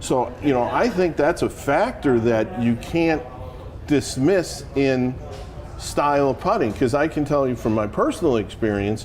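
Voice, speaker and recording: Over noticeable background noise, a man with a fairly high pitch talks at a fairly slow pace, his intonation lively and his loudness very even. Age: 60s. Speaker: golf club fitter. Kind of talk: in-store seminar discussion.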